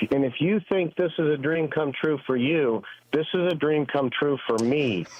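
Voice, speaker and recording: There is noticeable background noise behind a man's voice. He speaks at a fairly high pitch with ordinary pitch variation. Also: moderate pace, very even loudness. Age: 60s. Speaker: caller. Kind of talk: phone-in call.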